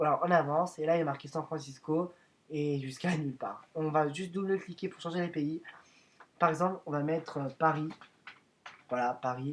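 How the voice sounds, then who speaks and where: This man speaks in a fairly high pitch with fairly even intonation. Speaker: YouTuber making video editing tutorials. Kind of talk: tutorial. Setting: screen recording voiceover. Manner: fast; hesitant, many fillers.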